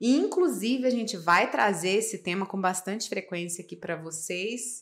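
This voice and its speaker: Here a woman is heard on a very clean recording with a silent background. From Minas Gerais, Brazil (small town near Furnas). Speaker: podcast co-host, physician. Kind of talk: casual chat.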